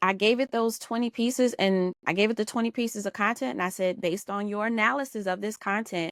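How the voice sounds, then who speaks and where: On a very clean recording with a silent background, a woman with an American accent speaks at a fairly quick pace with ordinary pitch variation. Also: dry, close sound with no echo. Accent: New Orleans accent, comes out at times. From US South, New Orleans. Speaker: business and marketing consultant. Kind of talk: podcast interview.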